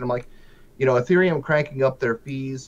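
A man talks in a plain, everyday voice. His pitch is medium, with ordinary variation. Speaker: viewer, live stream guest. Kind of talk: casual live stream chat. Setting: video call.

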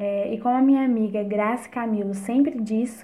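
Somewhat breathy and fairly high in pitch, a woman talks at a moderate pace with fairly even intonation. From Brazil, Minas Gerais (near Barbacena). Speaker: theatre student and afro dancer. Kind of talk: interview.

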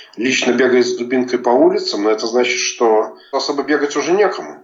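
Audible room echo surrounds a man who speaks at a moderate pace and medium pitch with ordinary pitch variation. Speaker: journalist. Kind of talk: interview. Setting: remote call.

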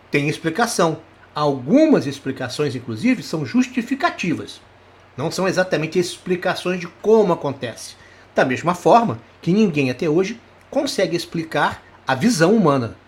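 A man speaks with a high pitch. His voice moves in very wide pitch swings. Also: moderate pace. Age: 60s. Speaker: psychologist and hypnosis teacher. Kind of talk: live online lecture.

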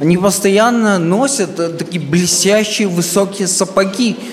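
A man talks at a very slow pace in a high pitch with ordinary pitch variation. There is audible room echo and noticeable background noise. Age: 30s. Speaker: comedian. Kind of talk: stand-up. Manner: sounds drunk.

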